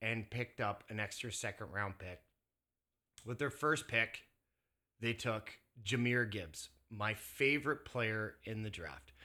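A man's bright, sharp tone at a fairly slow pace with long, frequent pauses, on a very clean recording with a silent background. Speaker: sports podcast host. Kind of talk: casual banter about football, fantasy advice. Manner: casual, opinionated, conversational.

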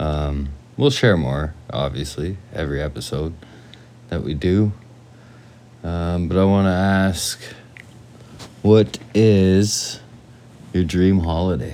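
Speaking with a very deep, low pitch and ordinary pitch variation, a man leaves long, frequent pauses. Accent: western Canadian. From western Canada (British Columbia and Alberta). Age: 40s. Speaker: podcast co-host. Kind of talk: casual chat.

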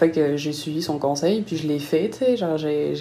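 Audible room echo surrounds a woman speaking at a moderate pace in a very deep, low pitch. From southern France, Nice. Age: 20s. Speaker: freelance graphic designer. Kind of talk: casual interview. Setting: video call.

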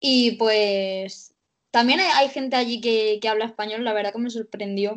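A plain, everyday voice from a woman, fairly high in pitch, at a moderate pace with ordinary pitch variation. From Cartagena, Murcia, Spain. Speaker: journalist. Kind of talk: casual chat.

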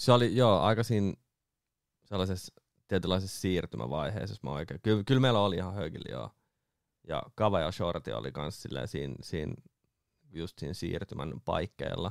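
A man's very deep, low voice with vocal fry and lively intonation, on a very clean recording with a silent background. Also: moderate pace, dry, close sound with no echo. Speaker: booking agent and DJ. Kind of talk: casual chat. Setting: studio.

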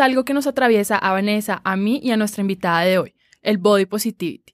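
Delivered at a very fast pace with ordinary pitch variation, the speech has a dry, close sound with no echo in a very clean recording with a silent background. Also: woman. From Colombian Caribbean coast, Cartagena. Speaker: podcast host. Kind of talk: casual chat.

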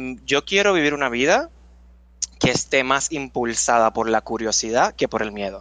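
A man with a bright, sharp tone talks at a fairly slow pace. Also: medium pitch for a man, lively intonation. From Puerto Rico. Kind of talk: casual interview.

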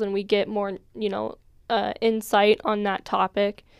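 On a very clean recording with a silent background, a woman with an American accent and an ordinary speaking voice talks at a fairly high pitch and a fairly slow pace, with a dry, close sound and no echo. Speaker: college student podcast host. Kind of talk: casual chat.

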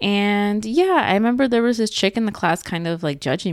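The recording is very clean and the background silent. An American accent comes from the woman speaking. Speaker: podcast co-host. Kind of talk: casual chat. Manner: casual, chatty.

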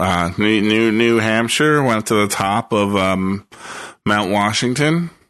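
This man talks at a very slow pace, his pitch fairly low with ordinary variation. His loudness stays very even throughout. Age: 30s. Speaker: podcast co-host. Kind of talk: casual chat.

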